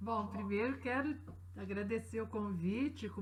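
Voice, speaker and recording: Audible room echo surrounds the voice. A woman talks at a fairly slow pace. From Brazil, Belo Horizonte (Minas Gerais). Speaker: writer. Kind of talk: interview.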